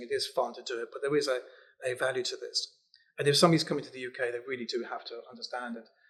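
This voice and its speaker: Speaking at a very fast pace, a man talks with a South London accent. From South London, England. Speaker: relocation company CEO. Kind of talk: casual interview chat. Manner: animated, conversational with many fillers.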